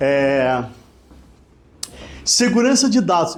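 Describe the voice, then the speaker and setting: Amid audible room echo, a man talks with very wide pitch swings. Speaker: lawyer. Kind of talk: lecture. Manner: casual, conversational.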